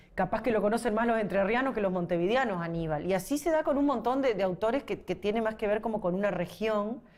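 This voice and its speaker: Lively, fairly high female speech at a fairly quick clip, noticeable background noise behind it. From Uruguay, Paysandú. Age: 40s. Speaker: singer-songwriter. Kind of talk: interview. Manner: halting.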